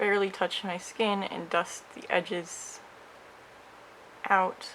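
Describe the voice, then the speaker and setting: Mumbled, very slow speech over noticeable background noise. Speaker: makeup creator. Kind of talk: makeup tutorial talk to camera. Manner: hesitant, mumbling.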